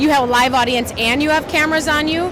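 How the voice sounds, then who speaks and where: A loud woman speaks with audible room echo and noticeable background noise. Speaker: fitness athlete and TV gladiator. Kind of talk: interview. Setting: expo booth.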